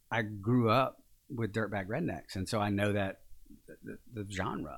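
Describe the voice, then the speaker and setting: A man with a Louisiana accent, fairly low pitch, ordinary pitch variation and a fairly slow pace, on a very clean recording with a silent background. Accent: Southern US (Louisiana). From northern Louisiana, small town near Shreveport. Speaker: actor and acting coach. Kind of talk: casual interview.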